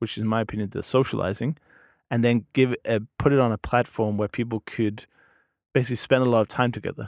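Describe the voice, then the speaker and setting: A man with a Danish accent talks at a fairly quick pace, in a medium pitch with fairly even intonation. The sound is dry and close with no echo, on a very clean recording with a silent background. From Denmark. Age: 30s. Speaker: podcast host and language learner. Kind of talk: casual interview chat.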